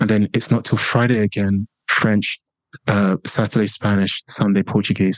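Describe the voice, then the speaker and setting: With an English accent, a man speaks at a moderate pace in a fairly low voice, his loudness very even and the sound dry and close with no echo. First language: a language other than English. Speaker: international speaker and online marketing expert. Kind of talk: podcast interview. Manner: animated.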